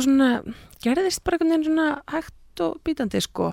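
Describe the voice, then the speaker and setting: A woman speaks with lively intonation on a very clean recording with a silent background, the sound dry and close with no echo. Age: 30s. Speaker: singer. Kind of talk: casual interview.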